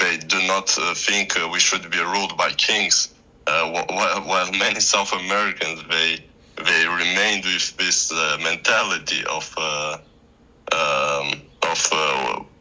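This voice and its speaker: The speaker goes at a fairly slow pace with fairly even intonation. Noticeable background noise is present. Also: man, very deep, low pitch for a man. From Moldova. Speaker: debater. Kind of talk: casual debate. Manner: halting, many fillers and restarts.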